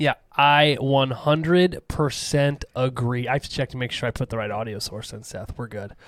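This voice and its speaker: At medium pitch and a moderate pace, a man talks with ordinary pitch variation and hardly any pauses in a dry, close sound with no echo. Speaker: horror movie podcast host. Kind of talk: casual chat. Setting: studio. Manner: loud.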